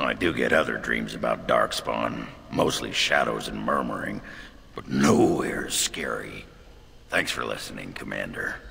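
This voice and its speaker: A man does a put-on character voice, raspy and at a moderate pace, with clear background noise behind him. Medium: video game. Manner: blunt, gruff.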